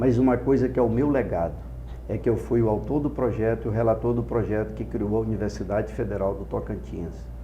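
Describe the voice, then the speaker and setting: A man's fairly low voice with vocal fry, very wide pitch swings and a fairly quick pace, plus audible room echo. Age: 60s. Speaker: politician, gubernatorial candidate. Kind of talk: political interview. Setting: studio. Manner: impassioned oratorical.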